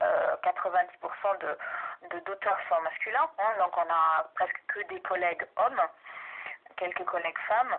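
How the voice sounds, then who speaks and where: Over noticeable background noise, a woman at medium pitch talks at a moderate pace with ordinary pitch variation. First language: German (speaking French). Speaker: researcher and university language teacher. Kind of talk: research interview. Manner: hesitant, many fillers.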